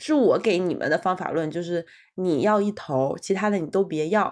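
A woman with a plain, everyday voice, medium pitch, lively intonation and a fairly quick pace against a quiet background. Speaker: podcast co-host, graduate student. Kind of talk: casual chat.

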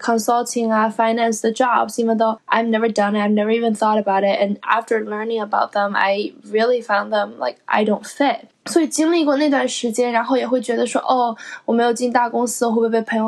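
An unremarkable speaking voice from a woman, fairly high in pitch, with fairly even intonation and hardly any pauses. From China. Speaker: podcast co-host, recent graduate. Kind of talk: casual chat. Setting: at home.

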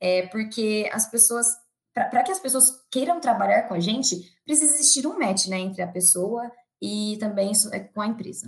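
With lively intonation and a fairly high pitch, a woman talks at a moderate pace in a somewhat breathy voice. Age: 20s. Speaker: employer branding analyst. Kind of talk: interview.

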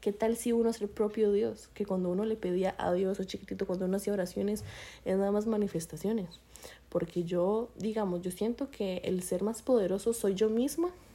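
A woman with a dark, mellow tone talks at a medium pitch, her intonation fairly even. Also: moderate pace. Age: 20s. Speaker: podcast co-host. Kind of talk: casual chat.

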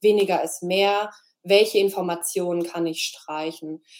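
In an unremarkable speaking voice, a woman talks at a moderate pace with fairly even intonation and a fairly low pitch. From Freiburg, southwestern Germany. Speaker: graphic designer. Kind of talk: interview.

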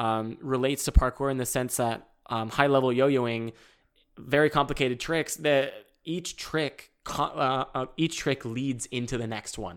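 The recording is very clean, with a silent background. A man speaks fairly slowly at a medium pitch. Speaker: parkour athlete and aspiring actor. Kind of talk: casual chat. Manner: loud; animated.

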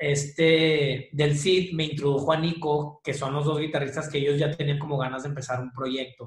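The speaker is a man with a fairly high pitch. His voice is somewhat breathy. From Mexico, Monterrey. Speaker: rock band singer. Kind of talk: casual interview. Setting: video call.

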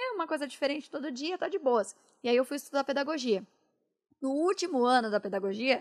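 A woman speaks at a high pitch. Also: very clean recording, silent background. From interior of São Paulo state (Itu). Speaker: esports caster and presenter. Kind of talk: casual interview chat.

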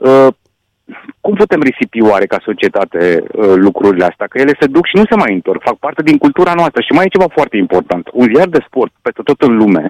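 Fairly high-pitched man with very wide pitch swings at a moderate pace, in a dry, close sound with no echo. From Romania, Satu Mare county (Hungarian community). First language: Hungarian (speaking Romanian). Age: 60s. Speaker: sports journalist. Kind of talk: radio interview.

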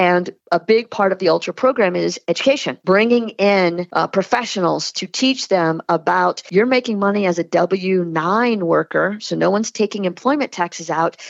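Speaking at a moderate pace with hardly any pauses, a woman with an American accent has a medium pitch and ordinary pitch variation, recorded dry and close with no echo. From Louisiana, Lafayette area. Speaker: brand strategist. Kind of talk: interview. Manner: animated.

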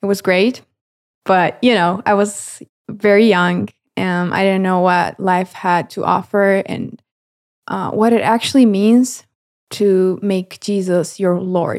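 With a Romanian accent, a woman of medium pitch talks at a very slow pace with fairly even intonation in a very clean recording with a silent background. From Romania, Galați. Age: 20s. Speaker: videographer intern, university student. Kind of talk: casual interview, personal testimony.

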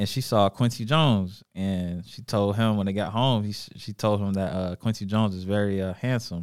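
A man with an American accent speaks in an ordinary speaking voice at a moderate pace, his fairly low pitch carried on fairly even intonation with hardly any pauses, in a very clean recording with a silent background. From Charlotte, North Carolina. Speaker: podcast host. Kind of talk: casual chat. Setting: studio.

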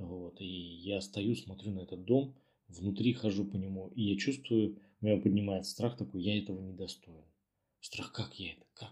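A man with a fairly low pitch speaks at a moderate pace, his voice somewhat breathy. His loudness swings a lot while his pitch varies in an ordinary way. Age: 30s. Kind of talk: recorded personal story.

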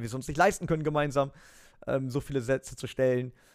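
Very fast male speech at medium pitch, fairly even in intonation, on a very clean recording with a silent background. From western Germany near the Dutch border. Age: 30s. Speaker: esports presenter and racing team owner. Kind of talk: interview.

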